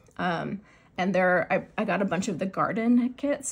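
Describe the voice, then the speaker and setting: A woman speaks with an American accent and vocal fry. Her pitch varies in an ordinary way. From US Pacific Northwest, Seattle. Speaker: crafting vlogger and teacher. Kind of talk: casual chat. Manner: fast; filler-heavy, halting.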